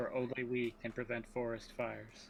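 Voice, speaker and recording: Over clear background noise, a man puts on a character voice at medium pitch and a moderate pace. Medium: actual play. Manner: formal, pompous.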